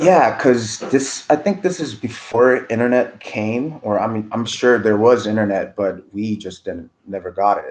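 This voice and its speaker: With a normal speaking voice at a medium pitch, a man talks at a fairly slow pace with ordinary pitch variation. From rural South Korea, moved to Los Angeles area at about 12. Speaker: furniture maker. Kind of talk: casual interview.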